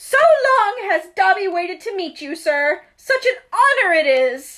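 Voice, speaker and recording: Doing a put-on character voice, a woman projects loudly at an extremely high pitch. She moves at a fairly slow pace with very wide pitch swings. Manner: servile, nervous.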